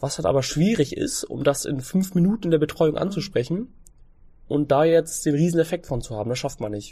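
A man's fairly high, dark, mellow voice with lively intonation at a fairly quick pace, on a very clean recording with a silent background. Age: 20s. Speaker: fitness trainer and nutrition coach. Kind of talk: casual interview.

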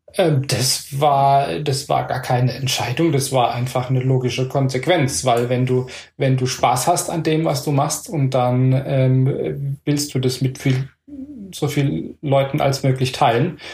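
A man speaks at a very slow pace with fairly even intonation. His loudness stays very even throughout. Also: medium pitch for a man. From Palatinate, Germany. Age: 40s. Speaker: acro yoga teacher. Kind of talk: casual chat. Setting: home.

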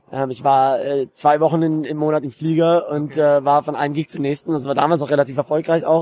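Speaking at a very fast pace, a man with a fairly high pitch and a dark, mellow tone keeps a monotone, flat intonation in a dry, close sound with no echo. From Germany, Karlsruhe. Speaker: real estate agent. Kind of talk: casual interview. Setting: conference venue.

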